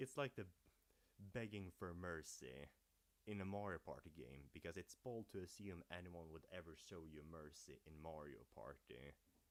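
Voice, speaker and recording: Speaking with a Swedish accent, a man has a very deep, low pitch and vocal fry. His intonation is lively. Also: moderate pace. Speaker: gaming youtuber. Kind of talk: livestream commentary. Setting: livestream. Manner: casual.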